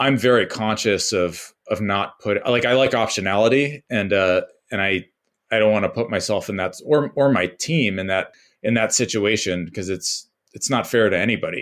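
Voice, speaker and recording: A man with an American accent speaks at a moderate pace in a plain, everyday voice. His pitch is fairly low with ordinary variation, and the recording is very clean with a silent background. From US West Coast (San Jose, California). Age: 30s. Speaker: startup founder. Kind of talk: casual interview chat.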